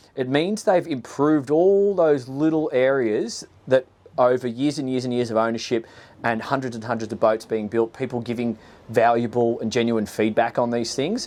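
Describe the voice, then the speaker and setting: Here a man with an Australian accent speaks at medium pitch and a moderate pace, with ordinary pitch variation. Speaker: boat reviewer, former boat salesman. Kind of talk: video walkthrough presentation. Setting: outdoors on a boat. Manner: casual, conversational with fillers.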